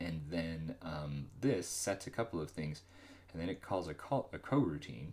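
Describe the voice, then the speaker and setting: With vocal fry, a man speaks at a very deep, low pitch. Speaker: solo game developer streaming. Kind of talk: live coding stream commentary. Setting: livestream. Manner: mumbling; halting, many fillers.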